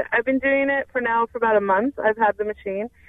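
Her pitch fairly high with ordinary variation, a woman talks in an ordinary speaking voice. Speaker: caller. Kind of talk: personal testimony. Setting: phone call.

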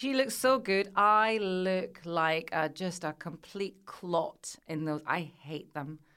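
Speaking very slowly with hardly any pauses, a woman with a Glasgow accent uses a medium pitch, lively intonation and a bright, sharp tone in a very clean recording with a silent background. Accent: Scottish (Glasgow). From Scotland (Glasgow area). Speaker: radio presenter and journalist. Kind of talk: casual interview chat.

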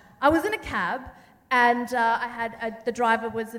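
The speaker has an Australian accent and a moderate pace. Audible room echo is present. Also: woman. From Sydney, Australia. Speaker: journalist and TV presenter. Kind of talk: panel conversation on stage. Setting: theatre stage with live audience.

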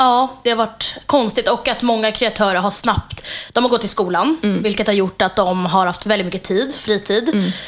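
A woman speaks at a moderate pace with fairly high pitch, ordinary pitch variation and hardly any pauses. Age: 20s. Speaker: social media creator. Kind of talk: interview. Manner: halting.

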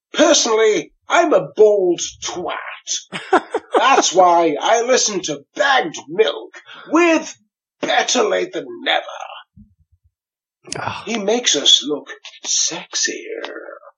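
A put-on character voice, fairly high in pitch, speaks at a very slow pace. Long pauses come often. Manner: put-on funny voice.

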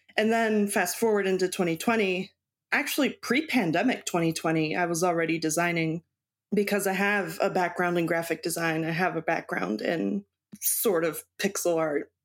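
A woman with an American accent and a fairly low pitch talks at a moderate pace in an unremarkable speaking voice, with ordinary pitch variation and very even loudness. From US East Coast (Baltimore, Maryland) with time in Mexico. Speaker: cross stitch designer. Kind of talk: interview.

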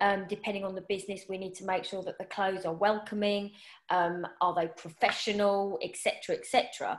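A woman speaks in a medium pitch at a moderate pace, her intonation monotone and flat. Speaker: personal stylist and podcast host. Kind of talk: casual interview chat.

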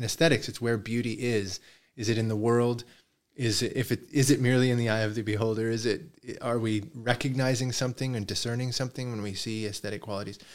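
With a plain, everyday voice, a man speaks at medium pitch with fairly even intonation. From Canada, Toronto. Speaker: philosophy professor. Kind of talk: interview conversation.

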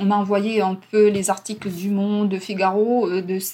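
A woman speaks very slowly with a Russian accent. Her pitch is medium. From Ukraine. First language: Russian (speaking French). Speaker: interpreter and language teacher. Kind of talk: interview. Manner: hesitant.

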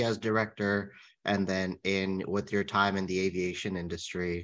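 A man with a plain, everyday voice speaks at a fairly slow pace. His pitch is fairly low and the background is quiet. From California. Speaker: podcast co-host, interviewer. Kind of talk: interview.

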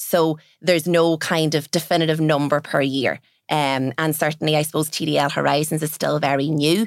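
In a Donegal accent, a woman speaks at a moderate pace with a very deep, low voice and monotone, flat intonation. The recording is very clean, with a silent background. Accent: Donegal Irish. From Ireland, Donegal. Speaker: business owner. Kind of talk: interview.

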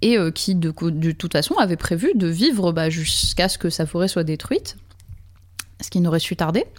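A woman's fairly low voice, moderate in pace, with ordinary pitch variation. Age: 40s. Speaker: live-action role-player. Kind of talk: casual chat. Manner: halting.

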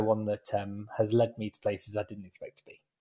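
A man speaks at a fairly quick pace with a dark, mellow tone. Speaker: Eurovision expert. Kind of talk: casual interview chat.

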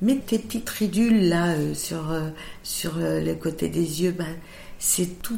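Vocal fry runs through a dark, mellow tone delivered at a very slow pace, with audible room echo. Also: woman. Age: 50s. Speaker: makeup artist. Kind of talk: interview.

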